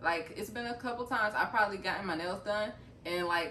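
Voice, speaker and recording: Amid noticeable background noise and audible room echo, a woman talks at a very fast pace. She has a medium pitch and lively intonation. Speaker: vlogger. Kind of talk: casual chat.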